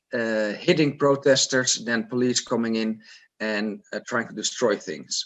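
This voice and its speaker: This man talks with ordinary pitch variation. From Netherlands. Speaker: activist. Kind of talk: spoken report. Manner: hesitant, many fillers.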